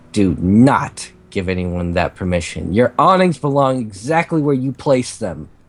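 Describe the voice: The clip is plain reading aloud.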